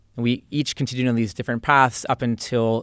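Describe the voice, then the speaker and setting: Dry and close with no echo, the recording has a man with an American accent and an ordinary speaking voice talking at a fairly quick pace, medium pitch and fairly even intonation. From central New Jersey, US. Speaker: computer science professor. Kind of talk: interview.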